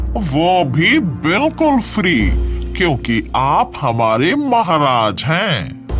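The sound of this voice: A man speaks very slowly in a cartoonish character voice over loud background music.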